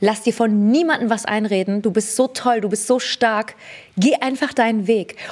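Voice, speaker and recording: A woman with a normal speaking voice, fairly high in pitch, with ordinary pitch variation, very even loudness, and a moderate pace. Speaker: beauty entrepreneur and fragrance creator. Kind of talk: casual interview chat.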